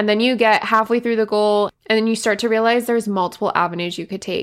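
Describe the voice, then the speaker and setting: A woman with an ordinary speaking voice and fairly high pitch talks at a fairly quick pace with fairly even intonation, in a very clean recording with a silent background. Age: 20s. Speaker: fitness coach and podcast host. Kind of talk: casual solo monologue.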